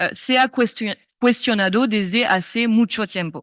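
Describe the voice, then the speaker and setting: Speaking with a French accent at a fairly slow pace, a woman has a fairly high pitch and ordinary pitch variation. The sound is dry and close with no echo, over a quiet background. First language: French (speaking Spanish). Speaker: law professor. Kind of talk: lecture. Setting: conference stage. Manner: reading from notes, halting.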